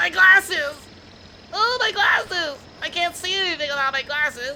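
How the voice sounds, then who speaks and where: This put-on character voice is whiny and extremely high, moving at a moderate pace against clear background noise. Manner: nerdy, whiny.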